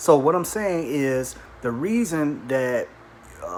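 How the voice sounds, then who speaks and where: A man's voice, fairly high in pitch, competes with noticeable background noise. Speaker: atheist video blogger. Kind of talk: response video monologue. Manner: hesitant with fillers.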